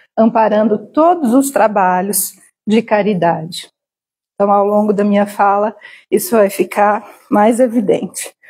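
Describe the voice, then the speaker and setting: A woman's somewhat breathy, medium-pitched voice with a dark, mellow tone, very even loudness, ordinary pitch variation and a fairly slow pace. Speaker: spiritist lecturer. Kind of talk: lecture. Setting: spiritist center hall with live audience and stream.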